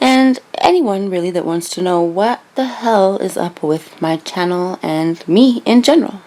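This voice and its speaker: Noticeable background noise runs under the recording. The woman's pitch varies in an ordinary way. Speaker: true crime YouTuber. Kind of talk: casual vlog monologue. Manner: lip smacking.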